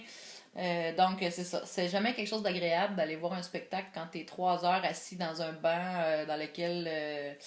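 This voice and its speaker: A woman speaks at medium pitch in a Quebec accent. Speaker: video blogger. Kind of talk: vlog monologue. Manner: hesitant, many filler words; careful enunciation.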